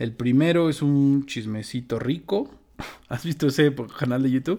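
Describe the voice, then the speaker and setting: A man speaks with a Mexican accent. His pitch is fairly high and his tone dark and mellow. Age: 30s. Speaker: podcast co-host. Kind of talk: casual chat.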